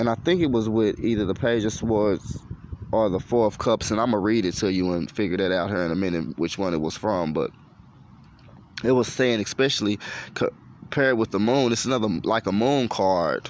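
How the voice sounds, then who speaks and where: This man speaks at a fairly quick pace with an animated tone, his fairly low pitch showing ordinary variation. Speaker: tarot reader. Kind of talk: tarot reading monologue. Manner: fast.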